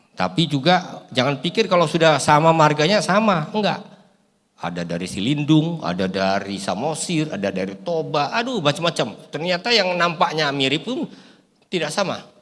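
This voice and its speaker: Very wide pitch swings from a man, set in audible room echo. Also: moderate pace. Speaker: pastor and bible translation consultant. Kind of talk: sermon. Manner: animated.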